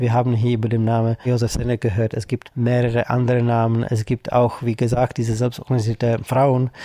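A man talks fairly quickly with hardly any pauses, at a medium pitch in a dark, mellow tone, with monotone, flat intonation, very even loudness and a dry, close sound with no echo. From Czech Republic. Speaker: anti-racism activist. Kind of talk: interview. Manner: hesitant, with fillers.

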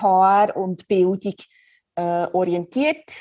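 A woman talks over music in the background, her voice dry and close with no echo. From Switzerland, Biel (bilingual region). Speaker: head of continuing education. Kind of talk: interview.

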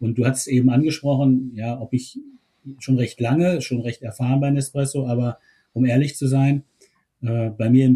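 This man's medium-pitched voice is somewhat breathy, with a dark, mellow tone and fairly even intonation. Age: 50s. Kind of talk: interview. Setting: remote call from home.

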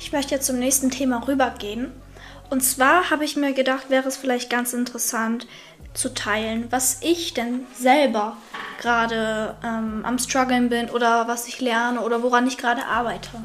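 Speaking at a moderate pace, a woman with a high pitch keeps her intonation fairly even. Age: 20s. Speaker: podcast host. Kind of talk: casual chat.

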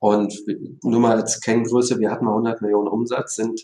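A man's dark, mellow voice at medium pitch, fairly even in intonation, at a moderate pace. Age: 40s. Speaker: company executive. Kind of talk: interview.

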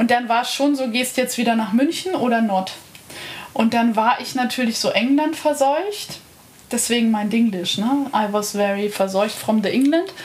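Amid audible room echo and noticeable background noise, a woman talks at a moderate pace with a fairly high pitch and ordinary pitch variation. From Bavaria, Lake Starnberg. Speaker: artist. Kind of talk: casual chat. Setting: live recording in a bed.

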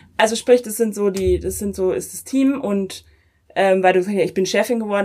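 Moderate pace, ordinary pitch variation and medium pitch from a woman with a normal speaking voice. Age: 30s. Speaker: politician. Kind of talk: interview. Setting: coworking space.

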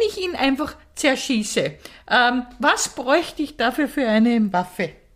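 High, lively intonation from a woman. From rural Austria. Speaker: podcast co-host. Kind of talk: casual chat.

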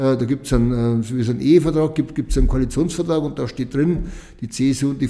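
A man's dark, mellow tone in a Lower Bavarian accent, fairly quick, with ordinary pitch variation. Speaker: state politician. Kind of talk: interview.

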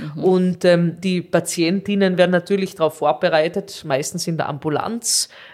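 A woman's plain, everyday voice, fairly low in pitch, at a moderate pace with hardly any pauses and fairly even intonation. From Austria, Carinthia. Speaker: nephrologist. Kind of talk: interview.

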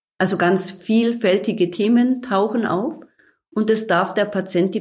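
Somewhat breathy and calm, a woman speaks at a medium pitch and a fairly slow pace with ordinary pitch variation. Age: 50s. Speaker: hospital chaplain. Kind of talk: interview.

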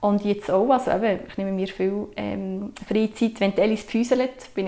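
Speaking at a medium pitch, a woman delivers her words in a flat, monotone intonation. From Switzerland, Sursee region (canton Lucerne). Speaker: mother sharing natural parenting experience. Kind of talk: casual conversation.

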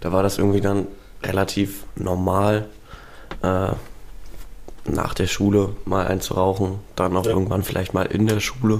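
A moderate pace broken by long, frequent pauses, with very even loudness and audible room echo. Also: man. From Spreewald, eastern Germany. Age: 20s. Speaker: university student. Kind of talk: casual interview.

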